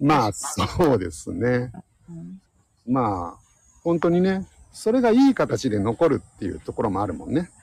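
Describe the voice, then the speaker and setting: Somewhat breathy and fairly slow, a man's voice moves through very wide pitch swings and big swings in loudness. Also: medium pitch for a man. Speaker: science podcast host. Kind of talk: casual chat.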